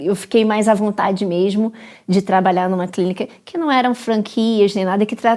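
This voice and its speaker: A woman with an ordinary speaking voice at a medium pitch and ordinary pitch variation, on a very clean recording with a silent background. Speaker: dentist. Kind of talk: interview conversation.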